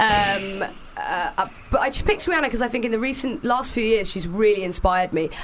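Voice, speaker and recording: A woman's fairly high voice at a very fast pace, with very wide pitch swings and noticeable background noise. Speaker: radio host. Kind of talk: casual chat. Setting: studio.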